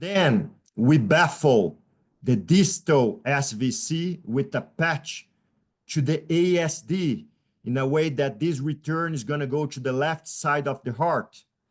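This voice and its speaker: A man with a Portuguese accent, fairly high in pitch, with ordinary pitch variation at a very slow pace. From Brazil. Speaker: pediatric surgeon. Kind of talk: lecture. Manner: loud. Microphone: faint, cutting-out audio.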